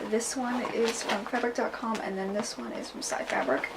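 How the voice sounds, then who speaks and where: A woman with a fairly high pitch speaks at a moderate pace with ordinary pitch variation against noticeable background noise. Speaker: cosplayer. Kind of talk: casual talk to camera.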